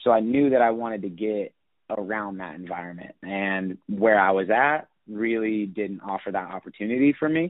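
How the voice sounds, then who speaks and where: An unremarkable speaking voice from a man with an American accent, fairly low in pitch, with ordinary pitch variation. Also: moderate pace. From Northern California, US (Sacramento). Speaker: strength and conditioning coach. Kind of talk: interview.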